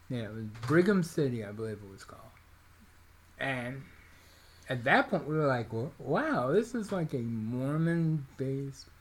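A man talks at a moderate pace in a somewhat breathy voice, with lively intonation. His loudness swings widely, and he leaves long, frequent pauses. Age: 40s. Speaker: podcast co-host. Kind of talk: casual chat.

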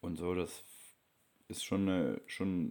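A man's very deep, low voice with a dark, mellow tone at a fairly slow pace. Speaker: travel vlogger. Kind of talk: travel vlog narration.

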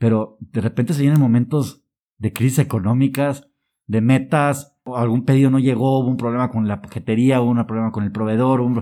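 A man with a Mexican accent speaks at a fairly quick pace and medium pitch, with fairly even intonation. The recording is very clean, with a silent background. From Mexico. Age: 30s. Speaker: social entrepreneur, company co-founder. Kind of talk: interview. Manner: halting.

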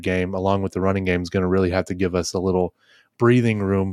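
In a plain, everyday voice with an American accent, a man talks fairly quickly at a fairly low pitch, the sound dry and close with no echo on a very clean recording with a silent background. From Ohio, Dayton area. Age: 20s. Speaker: sports podcast host. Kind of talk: casual chat.

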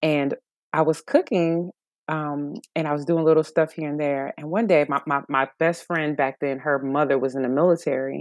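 A woman with a very deep, low pitch talks at a moderate pace with fairly even intonation, in a dry, close sound with no echo and a quiet background. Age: 40s. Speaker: vegan chef. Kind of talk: interview.

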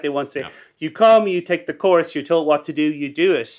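Fairly high male pitch with ordinary variation in a man's voice. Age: 50s. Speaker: business school professor and entrepreneur. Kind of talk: interview. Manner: halting, many repetitions.

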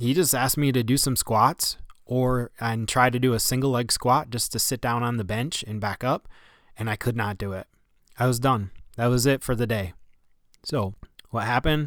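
Here a man speaks with fairly even intonation. The recording is very clean, with a silent background. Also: medium pitch for a man, moderate pace. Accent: upstate New York. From upstate New York. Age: 40s. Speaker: athletic trainer and podcast host. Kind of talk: personal storytelling monologue.

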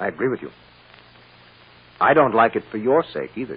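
A man puts on a character voice with a husky, rough edge, fairly low pitch and lively intonation. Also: moderate pace.

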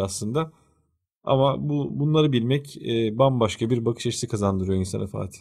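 In a very clean recording with a silent background, a man with a medium pitch talks fairly quickly, somewhat breathy, with ordinary pitch variation. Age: 30s. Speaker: podcast co-host. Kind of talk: casual discussion.

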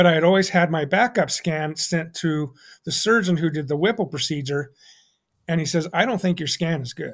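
A high-pitched male voice at a moderate pace, with ordinary pitch variation, on a very clean recording with a silent background. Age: 50s. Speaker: cancer patient. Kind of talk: casual chat. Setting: live-streamed podcast. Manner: halting.

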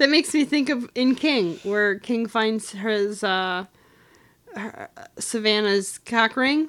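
A woman's fairly high-pitched voice, with lively intonation, at a very slow pace. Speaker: podcast co-host. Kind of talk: casual chat. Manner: loud.

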